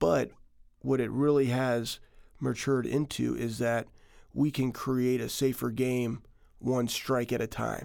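With fairly even intonation and a medium pitch, a man speaks at a fairly slow pace, leaving long, frequent pauses. The recording is very clean, with a silent background. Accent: American. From Texas. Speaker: company founder and former football player. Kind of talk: interview.

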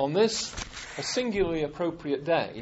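A man talking at a fairly slow pace over noticeable background noise. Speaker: lecture series organizer. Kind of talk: formal introduction. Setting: stage with audience. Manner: formal.

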